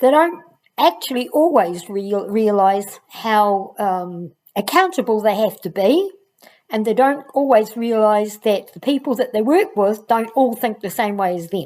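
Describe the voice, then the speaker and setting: A woman with an unremarkable speaking voice and a fairly high pitch speaks at a fairly slow pace in a very clean recording with a silent background. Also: lively intonation. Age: 60s. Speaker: education channel host, former teacher. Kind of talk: casual vlog talk to camera.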